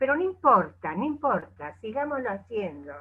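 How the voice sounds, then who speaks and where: A woman speaks at a very slow pace. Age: 70s. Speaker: coach. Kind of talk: casual chat.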